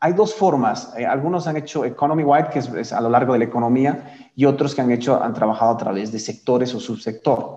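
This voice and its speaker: The speech moves at a fairly quick pace with hardly any pauses and ordinary pitch variation, amid noticeable background noise. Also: man, medium pitch for a man. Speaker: climate policy trainer. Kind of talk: lecture. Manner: halting, many fillers.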